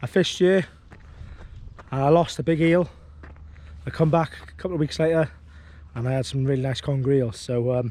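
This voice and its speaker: A fairly high-pitched man with a Welsh accent, relaxed in tone and fairly quick in pace, with ordinary pitch variation and long, frequent pauses. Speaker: angling vlogger. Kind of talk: casual vlog commentary. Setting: outdoors. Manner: relaxed, hesitant with fillers.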